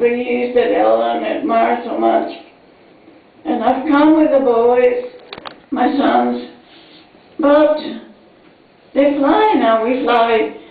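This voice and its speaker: A woman's high-pitched voice with ordinary pitch variation, very slow and broken by long, frequent pauses, over noticeable background noise. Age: 80s+. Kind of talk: speech at birthday tribute. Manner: slow, hesitant.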